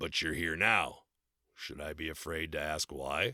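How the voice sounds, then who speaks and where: A man does a raspy, put-on character voice at a very deep, low pitch with ordinary pitch variation. He keeps a moderate pace on a very clean recording with a silent background. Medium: read story. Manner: blunt, gruff.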